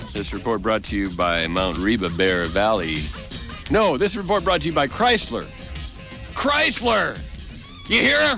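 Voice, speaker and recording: Music plays in the background as a man talks at a fairly slow pace, leaving long, frequent pauses. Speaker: radio news announcer. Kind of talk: radio news segment with jokes. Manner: wry, sarcastic.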